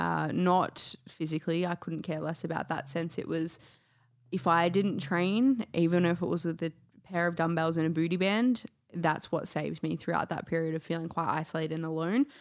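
A woman's unremarkable speaking voice, fairly low in pitch, with ordinary pitch variation and a moderate pace. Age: 20s. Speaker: health and well-being coach. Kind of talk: casual chat.

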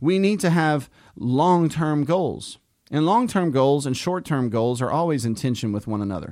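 This is a man with an ordinary speaking voice, fairly high in pitch and lively in intonation. He talks at a moderate pace on a very clean recording with a silent background. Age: 40s. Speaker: pastor. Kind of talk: podcast discussion of scripture.

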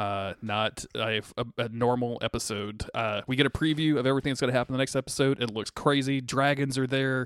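Dry and close with no echo on a very clean recording with a silent background, a man talks fairly quickly in an ordinary speaking voice with fairly even intonation and hardly any pauses. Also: medium pitch for a man. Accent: American. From USA. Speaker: podcast host. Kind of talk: casual chat.

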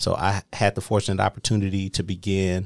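This man speaks with an American accent in a very deep, low pitch, his intonation monotone and flat, the sound dry and close with no echo. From Milwaukee, Wisconsin. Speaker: former business district director. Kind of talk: interview.

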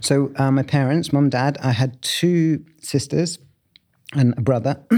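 In a very clean recording with a silent background, a man with a London accent talks in a dark, mellow tone with fairly even intonation. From southeast London, Bromley. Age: 50s. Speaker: architect and writer. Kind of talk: interview. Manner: halting, many fillers.

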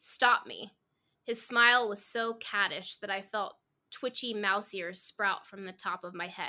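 With quiet surroundings, the recording presents an unforced reading voice.

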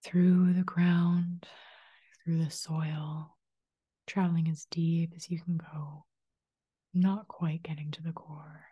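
A woman's soothing, gentle voice with a dark, mellow tone, fairly low pitch, somewhat breathy, with flat, monotone intonation, a very slow pace and long, frequent pauses. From Manitoba, Canada. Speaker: spiritual life coach and energy healer. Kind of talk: guided meditation; solo podcast talk. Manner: soothing, slow and gentle; calm, inviting.

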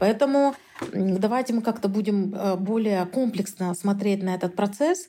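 A woman's dark, mellow, somewhat breathy voice at a fairly slow pace, with ordinary pitch variation, very even loudness and long, frequent pauses. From Kyrgyzstan. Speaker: researcher. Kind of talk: interview.

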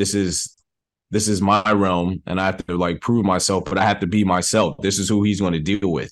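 A man speaks in an unremarkable speaking voice. His pitch is fairly low and his intonation fairly even. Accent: American. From New York, the Bronx. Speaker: film director. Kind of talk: interview.

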